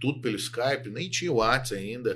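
A man talks in an ordinary speaking voice at a medium pitch. His pitch variation is ordinary. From Minas Gerais, Brazil. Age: 30s. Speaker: sports psychologist. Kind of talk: casual interview chat.

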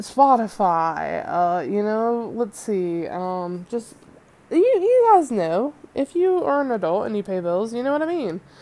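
At a fairly slow pace, a woman speaks at a fairly high pitch with very wide pitch swings. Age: 20s. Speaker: podcast host. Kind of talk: casual solo monologue. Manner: animated.

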